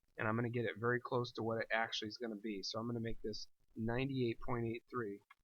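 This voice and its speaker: This man talks at a very fast pace in a monotone, flat delivery. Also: medium pitch for a man. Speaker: teacher. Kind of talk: tutorial. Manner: casual, conversational.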